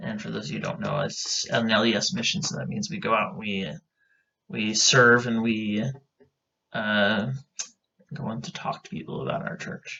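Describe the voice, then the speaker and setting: In a western US accent, a man of medium pitch speaks at a moderate pace with very wide pitch swings and long, frequent pauses. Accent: western American. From Idaho, US. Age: 20s. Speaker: podcast co-host. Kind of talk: casual chat. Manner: hesitant, with fillers.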